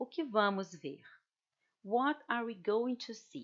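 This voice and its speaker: With a Brazilian accent, a woman speaks at a fairly slow pace with lively intonation. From Brazil, Rio de Janeiro. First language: Portuguese. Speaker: language teacher. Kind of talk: presentation.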